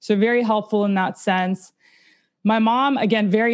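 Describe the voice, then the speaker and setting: A normal speaking voice with ordinary pitch variation. It moves at a fairly slow pace over a quiet background. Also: woman. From Russia, immigrated to US at nine. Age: 30s. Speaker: abuse survivor sharing her story. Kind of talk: interview testimony.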